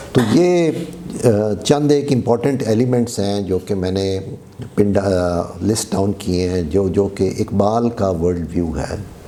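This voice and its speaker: Amid noticeable background noise and audible room echo, a man speaks with a fairly low pitch and lively intonation. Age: 60s. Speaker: lecturer. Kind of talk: lecture. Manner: code-switching Urdu and English.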